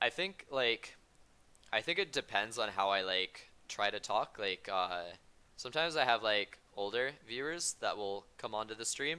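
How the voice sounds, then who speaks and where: Speaking at a moderate pace, a man uses a medium pitch and lively intonation in a bright, sharp tone. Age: 20s. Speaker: game streamer. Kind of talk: casual chat. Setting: live stream. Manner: upbeat.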